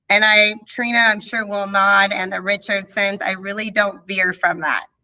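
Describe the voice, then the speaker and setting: The woman has an unremarkable speaking voice at a medium pitch. She talks at a fairly slow pace. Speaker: third grade teacher. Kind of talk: parent meeting presentation.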